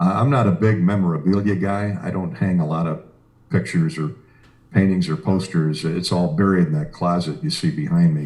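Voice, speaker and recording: A dark, mellow tone in an American accent, at a moderate pace with ordinary pitch variation. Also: man. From Iowa, US Midwest. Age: 60s. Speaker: sports radio broadcaster. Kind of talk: interview. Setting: video call from home office studio. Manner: hesitant fillers.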